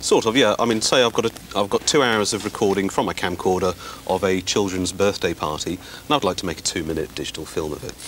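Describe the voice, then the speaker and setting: Over noticeable background noise, a man talks at a very fast pace in a fairly low pitch with ordinary pitch variation. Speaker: technology journalist demonstrating software. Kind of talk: TV studio interview demonstration. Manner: mumbling.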